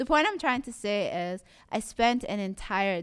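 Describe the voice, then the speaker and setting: A woman speaking at a very slow pace. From Somali community in Toronto, Canada. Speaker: visual artist. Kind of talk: interview.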